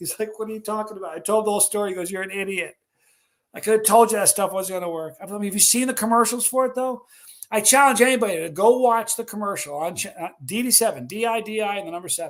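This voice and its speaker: An animated man with a high pitch and ordinary pitch variation, at a very fast pace. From New York. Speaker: livestream host. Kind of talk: casual livestream chat. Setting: live stream with chat.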